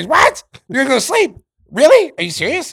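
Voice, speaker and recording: A put-on character voice, shrill and high-pitched. It moves at a fairly quick pace. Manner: incredulous.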